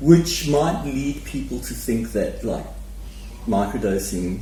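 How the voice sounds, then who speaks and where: Audible room echo mixes with noticeable background noise throughout the clip. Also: man. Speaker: podcast co-host. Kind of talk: casual chat.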